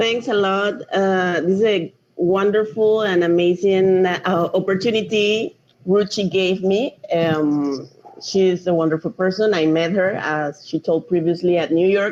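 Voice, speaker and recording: At a fairly slow pace, a woman with a Panamanian accent talks at medium pitch with ordinary pitch variation and very even loudness. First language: Spanish. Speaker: drone project manager, marine engineer. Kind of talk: online lecture.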